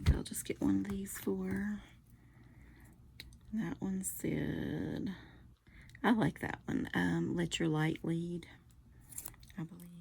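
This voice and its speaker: Soft-spoken whispering at a very slow pace, broken by long, frequent pauses. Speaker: card-making crafter. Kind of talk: casual craft tutorial chat. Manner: soft-spoken, near whisper.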